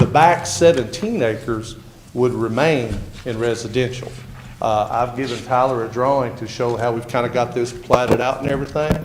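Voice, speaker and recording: Over noticeable background noise and audible room echo, a man talks at a medium pitch with ordinary pitch variation. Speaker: property owner applying for rezoning. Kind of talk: public hearing testimony. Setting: council meeting room with microphone.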